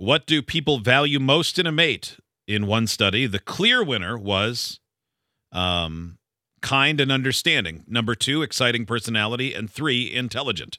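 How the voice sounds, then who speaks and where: A man speaks in a normal speaking voice at a medium pitch, with lively intonation. The sound is dry and close, with no echo. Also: moderate pace. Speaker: radio host. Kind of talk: casual banter. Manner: joking.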